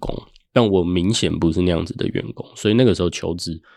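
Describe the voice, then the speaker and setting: In a very clean recording with a silent background, a man speaks with a very deep, low pitch and ordinary pitch variation. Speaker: author and finance professional. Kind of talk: interview.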